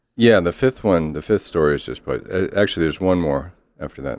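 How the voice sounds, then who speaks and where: Lively in intonation and touched by vocal fry, a man rattles along at a very fast pace. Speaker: playwright. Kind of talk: casual chat.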